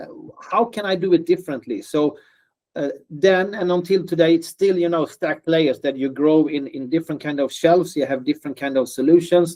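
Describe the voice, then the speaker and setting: A man with a non-native accent talks at a fairly quick pace in a high, dark and mellow voice with ordinary pitch variation. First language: non-native English speaker. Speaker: startup founder. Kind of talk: interview. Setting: video call. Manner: hesitant with fillers and repetitions.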